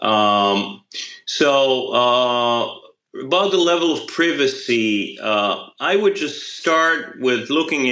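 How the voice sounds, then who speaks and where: A man's medium-pitched voice, bright and sharp in tone, with lively intonation. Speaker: crypto company CEO. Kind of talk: panel discussion. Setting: online audio space.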